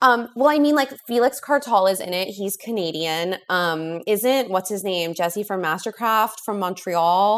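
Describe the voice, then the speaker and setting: A woman with an American accent in an ordinary speaking voice, medium in pitch, at a fairly slow pace with hardly any pauses and lively intonation, on a very clean recording with a silent background. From US West Coast, Los Angeles. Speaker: writer, author. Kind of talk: casual interview.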